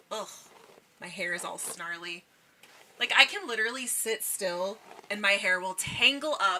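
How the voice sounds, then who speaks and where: Noticeable background noise runs under a woman speaking with lively intonation. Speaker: video game streamer. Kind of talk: casual chat with live chat. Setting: live stream. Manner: loud projected voice.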